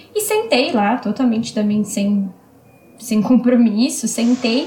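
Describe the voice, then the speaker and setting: There is noticeable background noise as a woman speaks at a moderate pace. Her pitch is high. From Brazil, São Paulo. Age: 20s. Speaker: spiritist medium and social worker. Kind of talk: interview.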